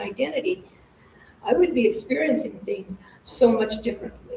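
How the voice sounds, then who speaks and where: Over noticeable background noise and audible room echo, a woman speaks at a high pitch. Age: 60s. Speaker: spiritual teacher. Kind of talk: spiritual lecture with group discussion. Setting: live-streamed class in a center.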